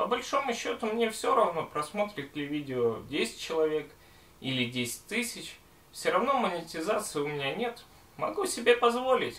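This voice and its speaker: Pitched high, a man's voice swings very widely in pitch. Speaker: gas mask and respirator collector. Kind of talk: casual talk to camera. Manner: slow.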